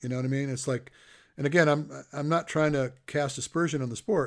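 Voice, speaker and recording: On a very clean recording with a silent background, a man has an unremarkable speaking voice, fairly high in pitch, with fairly even intonation and a fairly quick pace. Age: 60s. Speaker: podcast host and endurance coach. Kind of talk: casual interview. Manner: chatty, rambling.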